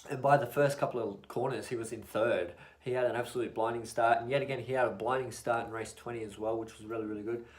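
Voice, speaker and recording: With an Australian accent, the mumbling speaker talks at a very fast pace with hardly any pauses, monotone, flat intonation and big swings in loudness, in audible room echo. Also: man, medium pitch for a man. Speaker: motorsport YouTuber. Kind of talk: casual vlog recap.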